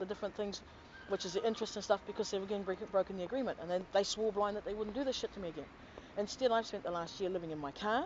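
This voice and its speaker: With a New Zealand accent, a woman speaks very fast at a medium pitch. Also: ordinary pitch variation. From New Zealand, Auckland. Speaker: complainant to government office. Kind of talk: testimony.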